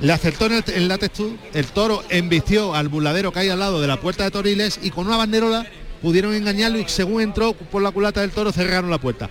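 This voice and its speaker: A high-pitched man at a very fast pace, very even in loudness, against noticeable background noise. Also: ordinary pitch variation. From Jaén, Andalusia. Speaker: bullfighting commentator. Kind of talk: live commentary. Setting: bullring.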